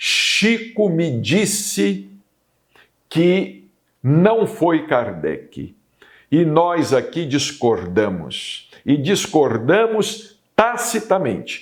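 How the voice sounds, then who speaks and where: A man's high voice with very wide pitch swings and very even loudness, at a very slow pace. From Brazil, Minas Gerais (Uberaba). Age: 60s. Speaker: spiritist TV program host and medium. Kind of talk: spiritual talk / monologue.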